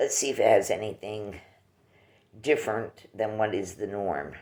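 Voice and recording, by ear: Using a put-on character voice, a man sounds raspy and hoarse at a fairly low pitch and a moderate pace.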